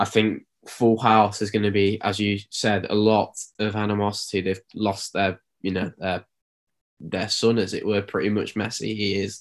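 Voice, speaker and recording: Speaking in an East Midlands accent, a man delivers flat, monotone intonation at a moderate pace and fairly low pitch. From East Midlands, England. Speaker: podcast co-host. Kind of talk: casual sports chat.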